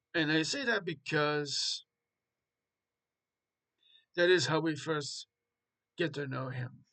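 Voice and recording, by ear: Slow-paced, a man talks at a fairly high pitch in a bright, sharp tone. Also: ordinary pitch variation.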